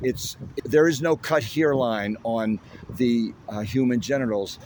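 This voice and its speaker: A man speaking at a very slow pace with ordinary pitch variation, against noticeable background noise. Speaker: activist protester. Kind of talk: street interview.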